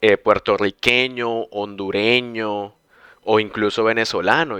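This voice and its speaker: The voice has a bright, sharp tone and fairly even intonation at a very slow pace. The background is quiet. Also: man. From Colombia, Bucaramanga. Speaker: podcast host, language teacher. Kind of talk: casual chat.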